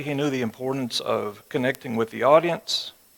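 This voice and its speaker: A man races along at a very fast pace, his pitch varying normally. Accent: West Texas. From West Texas. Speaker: church teacher. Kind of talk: sermon. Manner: conversational.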